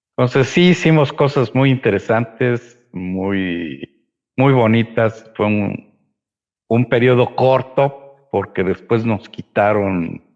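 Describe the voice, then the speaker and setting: The pace is very slow. A man speaks at a medium pitch with lively intonation. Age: 60s. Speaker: historian and city chronicler. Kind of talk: interview conversation.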